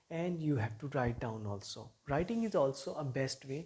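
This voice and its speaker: A man's fairly high, somewhat breathy voice with lively intonation and a dark, mellow tone. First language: not English. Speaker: English teacher. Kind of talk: motivational talk to camera.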